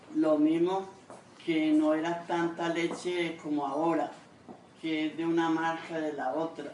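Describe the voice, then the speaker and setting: Over noticeable background noise and audible room echo, a woman speaks at a very slow pace. Her fairly low voice stays monotone and flat. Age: 70s. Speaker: grandmother interviewee. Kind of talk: interview testimony. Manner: halting.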